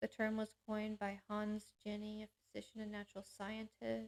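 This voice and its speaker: Here a woman speaks at medium pitch. The sound is dry and close, with no echo. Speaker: panel show host. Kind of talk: reading aloud. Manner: halting.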